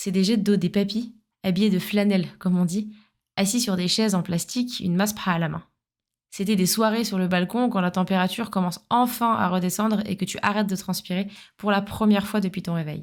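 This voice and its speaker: On a very clean recording with a silent background, a woman talks at a fairly quick pace. She has a normal speaking voice with medium pitch and fairly even intonation. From France, Paris suburbs (Essonne). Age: 30s. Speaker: podcast host. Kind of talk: scripted narration.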